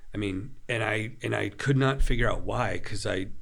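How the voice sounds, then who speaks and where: A man speaks in a plain, everyday voice at a moderate pace. His intonation stays fairly even. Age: 40s. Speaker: author and preacher. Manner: measured, intentional.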